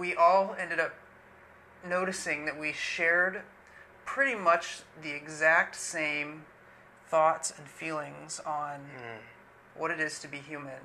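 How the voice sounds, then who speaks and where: A man at a very slow pace, with fairly even intonation, long, frequent pauses and light background noise. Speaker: guest. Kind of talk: casual conversation, personal story. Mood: calm, reflective. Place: home room.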